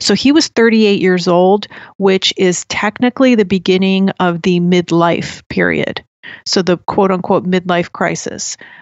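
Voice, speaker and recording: In an American accent, a woman with an unremarkable speaking voice talks at a fairly slow pace and medium pitch, with fairly even intonation and very even loudness. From US Northeast (New Jersey). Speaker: podcaster on Jungian psychology. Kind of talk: casual interview chat.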